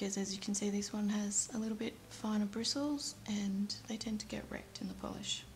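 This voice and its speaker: Against noticeable background noise, a woman talks at a fairly quick pace with a medium pitch and fairly even intonation. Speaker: nail art YouTuber. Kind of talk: tutorial.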